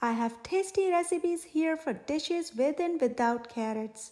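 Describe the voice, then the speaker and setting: A woman puts on a squeaky character voice, high in pitch, with lively intonation at a moderate pace. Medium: read story. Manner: reassuring.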